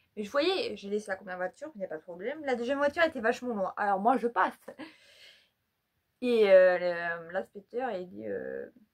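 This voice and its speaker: A woman with a medium pitch and lively intonation speaks at a moderate pace with long, frequent pauses. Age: 20s. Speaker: YouTuber. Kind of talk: casual vlog. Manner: halting.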